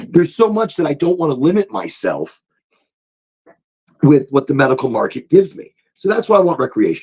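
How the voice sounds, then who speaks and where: The speech moves at a very fast pace, broken by long, frequent pauses. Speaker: cannabis podcast host. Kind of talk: casual chat. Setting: small closet smoke room.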